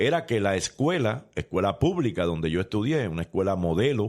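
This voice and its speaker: An unremarkable speaking voice from a man, fairly low in pitch, at a moderate pace, on a very clean recording with a silent background. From Puerto Rico, San Juan. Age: 60s. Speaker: former politician. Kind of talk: interview.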